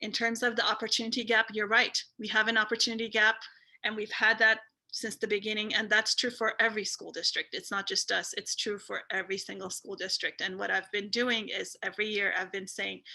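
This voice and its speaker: Bright and sharp, a woman's fairly high voice moves at a fairly quick pace with monotone, flat intonation. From immigrant. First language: not English (English is third language). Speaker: school board member and candidate. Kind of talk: interview. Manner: halting, many fillers and repeats.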